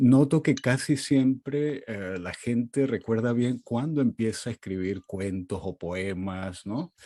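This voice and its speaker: Recorded dry and close with no echo, a man with a Portuguese accent speaks at a very slow pace, his medium pitch carrying a dark, mellow tone and ordinary pitch variation. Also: very clean recording, silent background. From Venezuela (Caracas), Portuguese-speaking family. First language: Portuguese (speaking Spanish). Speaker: literary critic and professor. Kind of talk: interview conversation.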